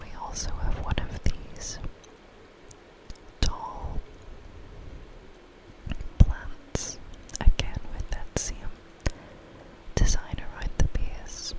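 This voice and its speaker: The speech is whispered at a very slow pace with long, frequent pauses. Background noise is noticeable throughout. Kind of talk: ASMR whispered video-game walkthrough narration.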